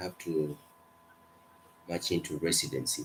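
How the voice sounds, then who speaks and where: A man with a non-native accent at a moderate pace. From Kenya. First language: not English. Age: 20s. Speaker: medical student. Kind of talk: casual chat.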